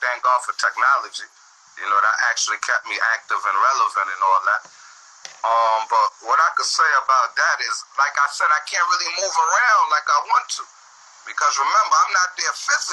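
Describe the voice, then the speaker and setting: Amid noticeable background noise, a man with a New York accent talks at a fairly quick pace. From Southside Queens, New York. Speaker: interviewee, street figure. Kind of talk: interview.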